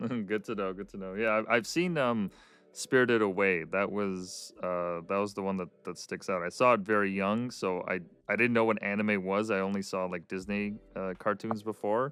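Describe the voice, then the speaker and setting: Over a silent background on a very clean recording, a man talks at a moderate pace. His pitch is fairly low and his intonation fairly even. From Canada. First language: Russian. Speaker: podcast host. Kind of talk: casual interview chat. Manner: hesitant, many fillers and repeats.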